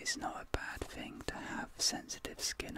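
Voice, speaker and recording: Whispering very slowly, a man uses a soothing tone. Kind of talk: soft-spoken roleplay. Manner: soft, soothing ASMR voice. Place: home room.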